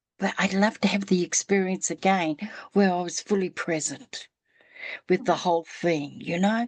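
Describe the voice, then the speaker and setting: A woman with an unremarkable speaking voice talks at a moderate pace and medium pitch with fairly even intonation, dry and close with no echo against a quiet background. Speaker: spiritual podcast host. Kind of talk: casual storytelling in interview conversation.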